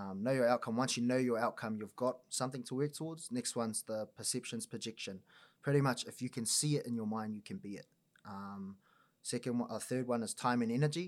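A man with a New Zealand accent at a fairly quick pace, with ordinary pitch variation, in a very clean recording with a silent background. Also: medium pitch for a man. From New Zealand, Auckland North Shore. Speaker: mental performance coach. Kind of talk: casual chat.

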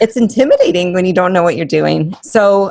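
A woman's bubbly voice carries vocal fry and lively intonation. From New Mexico, Albuquerque. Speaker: fitness entrepreneur and coach. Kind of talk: casual interview chat.

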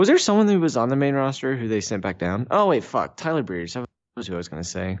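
A man's very fast speech with very wide pitch swings. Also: medium pitch for a man. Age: 20s. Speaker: wrestling podcast co-host. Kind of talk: casual chat.

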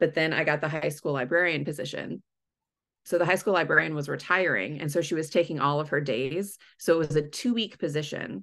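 Against a quiet background, a woman with a very deep, low voice talks at a fairly quick pace with ordinary pitch variation. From Texas Gulf Coast. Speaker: school librarian. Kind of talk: casual chat. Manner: chatty, animated.

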